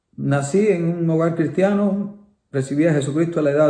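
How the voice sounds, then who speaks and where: The man's voice is high in pitch, with a dark, mellow tone and a fairly quick pace. Audible room echo surrounds it. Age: 70s. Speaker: pastor. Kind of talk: sermon. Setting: online livestream from home.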